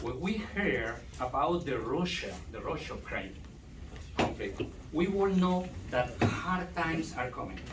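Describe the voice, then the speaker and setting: A man with a Spanish accent speaks at a high pitch and a fairly slow pace with lively intonation, amid audible room echo and noticeable background noise. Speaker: doctoral student. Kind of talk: conference talk. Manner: halting.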